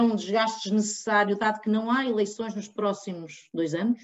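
With an ordinary speaking voice, a woman talks at a moderate pace and a fairly high pitch. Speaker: political commentator, party member. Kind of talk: political debate.

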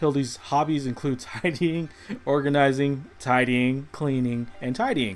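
The speaker is a man with a normal speaking voice and a fairly high pitch. His pace is moderate and his pitch variation ordinary. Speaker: podcast host. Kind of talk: casual chat. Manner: casual, conversational.

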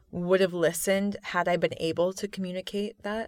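A woman talks in an ordinary speaking voice, pitched fairly low. Her intonation stays fairly even and her pace is moderate. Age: 20s. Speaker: author and poet. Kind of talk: casual interview.

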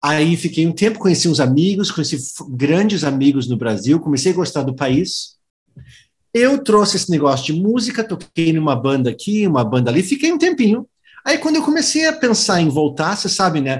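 A high-pitched man talks at a fairly quick pace. His pitch swings very widely. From US, Philadelphia. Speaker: audio producer and lecturer. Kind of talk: interview.

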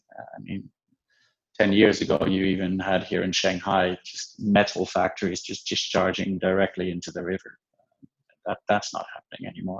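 A man speaks with a Dutch accent against a quiet background. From Netherlands. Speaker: venture investor. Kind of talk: interview.

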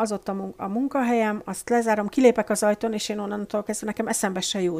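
A woman talks at a fairly quick pace. She has a plain, everyday voice. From Hungary. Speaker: guest, emigrant office worker. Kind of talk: casual interview chat.

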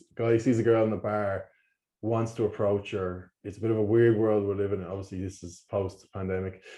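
A man with an Irish accent speaks in a fairly low pitch with a dark, mellow tone against a quiet background. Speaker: podcast host. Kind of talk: casual chat.

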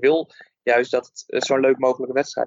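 A man speaks at a medium pitch in an unremarkable speaking voice. His pace is moderate. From Netherlands. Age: 30s. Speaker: football referee and teacher. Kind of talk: casual interview.

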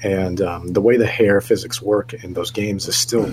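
This man has an ordinary speaking voice at a fairly low pitch. His intonation stays fairly even. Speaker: gaming podcast co-host, works at a game store. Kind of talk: casual chat.

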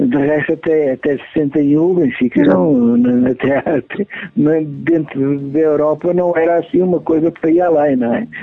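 Using a plain, everyday voice, a man speaks at a fairly slow pace with a fairly high pitch and ordinary pitch variation. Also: very even loudness. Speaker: son of a football legend. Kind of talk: interview.

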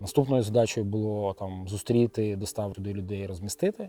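Dark and mellow in tone, a man's fairly low voice moves at a fairly quick pace. His pitch variation is ordinary. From Kyiv, Ukraine. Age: 30s. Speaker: finance professional and volunteer. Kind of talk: interview testimony.

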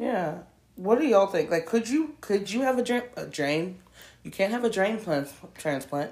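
A woman speaks at medium pitch and a moderate pace. Her pitch swings very widely. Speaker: podcast co-host. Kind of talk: casual chat. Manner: talks with teeth closed.

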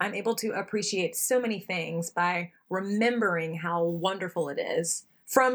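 A woman of medium pitch with an American accent, fairly slow with hardly any pauses, on a very clean recording with a silent background. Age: 30s. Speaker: ultimate player and equity consultant. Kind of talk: interview. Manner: animated.

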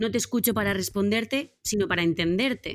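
Music plays in the background as a woman speaks at a moderate pace with ordinary pitch variation. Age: 30s. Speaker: team facilitator and author. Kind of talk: interview. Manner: animated.

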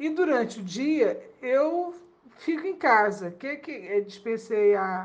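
A woman talks with ordinary pitch variation. Audible room echo surrounds her voice. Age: 60s. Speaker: retiree. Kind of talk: recorded testimony.

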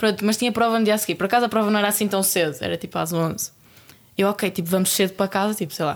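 A woman at medium pitch, very fast, with fairly even intonation. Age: 20s. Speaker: track athlete. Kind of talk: casual chat.

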